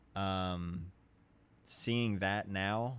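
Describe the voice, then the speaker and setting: In a relaxed tone, a man with an American accent speaks with fairly low pitch and fairly even intonation. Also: very clean recording, silent background. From southern Ohio. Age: 30s. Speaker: photographer streamer. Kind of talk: casual live stream chat. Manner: relaxed, conversational.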